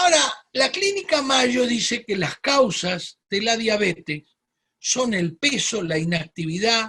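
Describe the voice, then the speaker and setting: Raised, projected male voice at an extremely high pitch, bright and sharp in tone, very slow in pace, with very wide pitch swings. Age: 60s. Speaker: medical doctor giving health webinar. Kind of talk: webinar lecture. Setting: online webinar.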